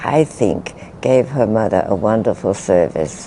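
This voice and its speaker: Over noticeable background noise, a woman with a very deep, low pitch speaks in very wide pitch swings. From England. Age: 80s+. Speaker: spiritual teacher. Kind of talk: interview answer.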